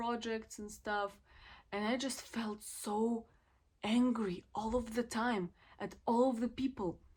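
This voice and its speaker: Somewhat breathy, a woman talks at a fairly slow pace. Her pitch is fairly high. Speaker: student vlogger. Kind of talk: reflective vlog monologue.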